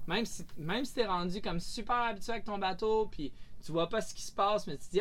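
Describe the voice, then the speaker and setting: His pitch makes very wide swings. The man keeps up a fairly quick pace. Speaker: professional sailboat captain. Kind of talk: casual interview. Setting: aboard anchored sailboat.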